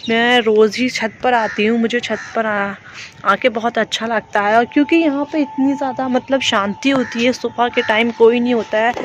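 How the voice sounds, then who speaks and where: With hardly any pauses, a woman with a fairly high voice speaks at a fairly slow pace and fairly even intonation over noticeable background noise. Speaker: vlogger. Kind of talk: casual vlog talk to camera. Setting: outdoors on rooftop.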